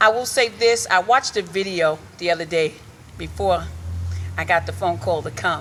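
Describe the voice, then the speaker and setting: A loud, animated voice with vocal fry, lively intonation and a moderate pace. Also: woman. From Hartford, Connecticut inner city. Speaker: reverend and community activist. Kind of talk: rally speech.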